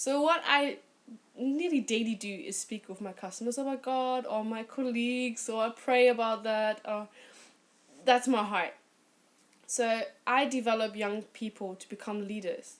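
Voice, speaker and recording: Speaking with a British accent, a woman uses a fairly high pitch, an animated tone and a moderate pace. Her pitch variation is ordinary, while her loudness swings widely. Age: 20s. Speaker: bank financial consultant and youth leader. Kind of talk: testimony.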